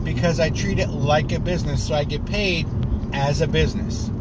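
Loud noise fills the background while a man talks in a dry sound with no echo. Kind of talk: casual vlog chat. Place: car. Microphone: phone near.

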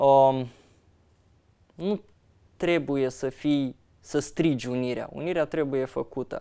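Against a quiet background, a man talks very slowly at a fairly high pitch, with fairly even intonation and long, frequent pauses. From Moldova. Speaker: opposition politician, party vice-president; opposition politician. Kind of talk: interview. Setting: studio. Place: studio. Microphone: lapel.

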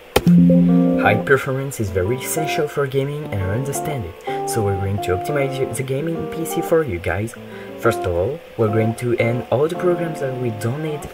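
Moderate pace in a French accent, with clear music in the background. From France. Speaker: gaming tech tutorial creator. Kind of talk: screen-recorded tech tutorial.

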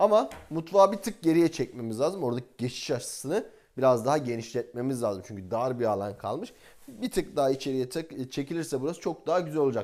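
On a very clean recording with a silent background, a man with a fairly high pitch talks at a very fast pace with very wide pitch swings. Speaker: real estate agent. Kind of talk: property tour.

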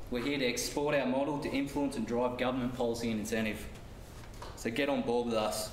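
Very fast, monotone speech with an Australian accent and very even loudness. Light background noise and audible room echo are present. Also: man. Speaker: construction project manager presenter; presenter. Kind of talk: business presentation. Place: classroom. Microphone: camera far.

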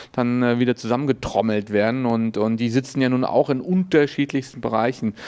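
A plain, everyday voice from a man at medium pitch, with ordinary pitch variation and a fairly quick pace. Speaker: event host.

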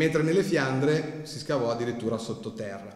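A man with a medium pitch talks at a moderate pace with ordinary pitch variation. The recording has audible room echo. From Milan, Italy. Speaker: historian and author. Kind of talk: lecture with slides. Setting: library hall with audience. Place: hall. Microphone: podium.

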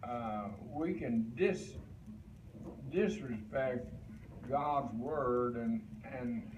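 A man talks very slowly while noticeable background noise fills the recording. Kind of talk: sermon. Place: home room. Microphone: camera far.

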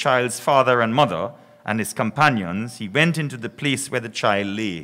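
The tone is bright and sharp. It belongs to a man. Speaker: priest giving invocation. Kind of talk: scripture reading. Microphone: podium.

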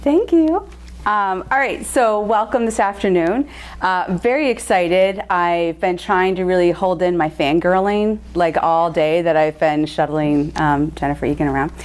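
A woman's fairly low voice proceeds at a moderate pace. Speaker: event host. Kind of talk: introduction speech. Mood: excited, slightly flustered, laughing. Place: hall. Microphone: handheld.

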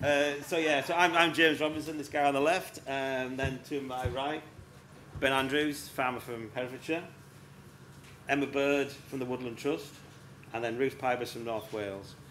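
A man talks at a moderate pace with fairly even intonation. He leaves long, frequent pauses, with light background noise behind him. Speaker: session host. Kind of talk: talk to a live audience. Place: tent.

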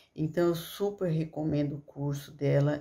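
Over a quiet background, a woman speaks fairly slowly with a very deep, low pitch, a dark, mellow tone and monotone, flat intonation. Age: 50s. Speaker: course student giving testimonial. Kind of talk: testimony. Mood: grateful, earnest. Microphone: phone near.

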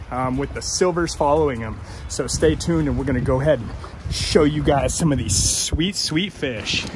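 A man at a moderate pace, dry sound with no echo, music in the background. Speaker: fishing guide vlogger. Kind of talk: casual vlog chat. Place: waterside. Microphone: phone near.

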